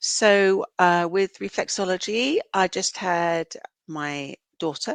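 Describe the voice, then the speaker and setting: A woman's fairly low voice with ordinary pitch variation, in a dry, close sound with no echo and a quiet background. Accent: British. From UK. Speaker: reflexologist and counsellor. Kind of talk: podcast interview.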